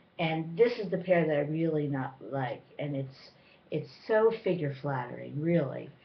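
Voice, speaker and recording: Somewhat breathy, a woman's voice moves at a moderate pace. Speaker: vlogger. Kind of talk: casual haul review chat. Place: home room. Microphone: webcam.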